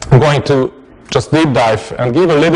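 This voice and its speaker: Noticeable background noise surrounds a man who speaks with a non-native accent and ordinary pitch variation. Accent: noticeable foreign. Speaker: tech meetup speaker. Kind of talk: technical talk. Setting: meetup with live audience. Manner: halting, many fillers and repetitions.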